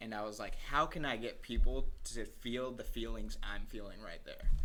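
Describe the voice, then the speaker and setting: At a moderate pace, a man talks with big swings in loudness while room echo can be heard around him. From Colombia. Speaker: singer-songwriter. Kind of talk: casual interview.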